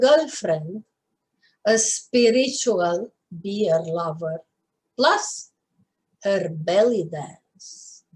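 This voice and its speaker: With a Romanian accent, a woman talks at a very slow pace in a somewhat breathy voice, her pitch swinging very widely between long, frequent pauses. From Romania, Bucharest. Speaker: poet. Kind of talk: poetry reading.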